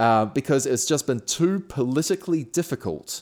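Recorded very cleanly with a silent background, a man with a New Zealand accent talks with lively intonation. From New Zealand, Auckland. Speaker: classical radio presenter and comedian. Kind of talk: casual interview.

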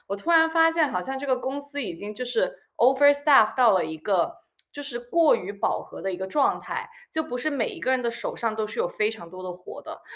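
A woman speaks at a high pitch and a fairly quick pace, with very wide pitch swings. The recording is very clean, with a silent background. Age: 20s. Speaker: former colleague, blogger. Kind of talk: casual chat.

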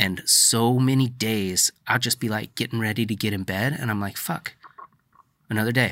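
With an ordinary speaking voice, a man talks at a moderate pace, medium pitch and fairly even intonation. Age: 30s. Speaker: podcast host. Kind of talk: casual interview. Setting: in person.

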